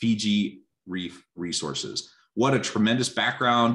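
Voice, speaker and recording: A man talks at a fairly slow pace with vocal fry. His pitch varies in an ordinary way. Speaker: webinar host. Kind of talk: reading bios, interview intro. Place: home room. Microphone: earbuds.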